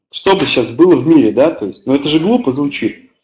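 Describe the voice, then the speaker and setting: A man talks at a fairly quick pace with lively intonation and a fairly high pitch. The background is quiet. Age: 20s. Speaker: network marketing team leader; webinar presenter. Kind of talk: webinar presentation. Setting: online webinar with live chat. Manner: hesitant, many filler sounds. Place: home room. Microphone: webcam.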